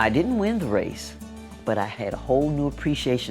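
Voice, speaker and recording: Music plays behind a woman who talks at a fairly quick pace, her pitch swinging very widely. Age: 70s. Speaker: BMX racer; teacher and coach. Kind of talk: interview answer.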